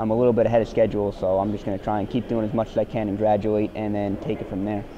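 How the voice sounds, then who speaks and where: This man has a fairly low pitch and a New Jersey accent, talking at a very fast pace in a monotone, flat delivery. Noticeable background noise runs behind him. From US Northeast, New Jersey. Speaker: college basketball player. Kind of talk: interview. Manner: halting.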